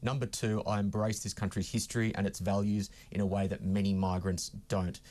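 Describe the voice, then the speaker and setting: With an Australian accent, a man talks at a fairly quick pace in a fairly low voice. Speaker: political commentator. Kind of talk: heated debate.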